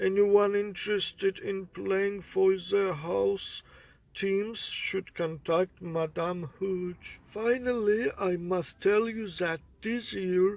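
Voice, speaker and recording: Using a cartoonish character voice, a man speaks very slowly at a high pitch. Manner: genial, unhurried.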